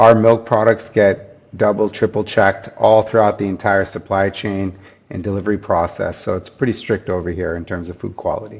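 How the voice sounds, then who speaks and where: A man with an American accent speaks at a moderate pace in a fairly low pitch, with hardly any pauses. His is a plain, everyday voice, with fairly even intonation but big swings in loudness. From US, New Jersey. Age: 50s. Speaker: food company founder. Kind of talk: podcast interview.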